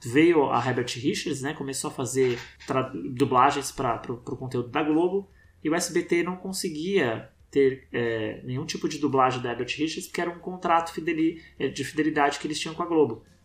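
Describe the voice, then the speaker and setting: Here a man talks in a normal speaking voice at a fairly high pitch. His pace is moderate and his pitch variation ordinary. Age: 40s. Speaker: documentary filmmaker. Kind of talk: casual interview.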